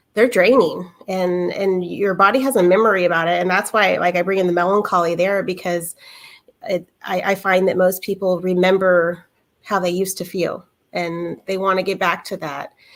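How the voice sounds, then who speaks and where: A woman at a moderate pace, with fairly even intonation and a plain, everyday voice. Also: medium pitch for a woman. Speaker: massage therapist. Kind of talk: panel discussion.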